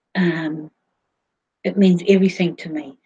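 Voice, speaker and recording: At a very slow pace, a woman speaks in a fairly low, somewhat breathy voice with monotone, flat intonation. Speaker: livestream host. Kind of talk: casual livestream chat. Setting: online video broadcast. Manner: halting, many fillers.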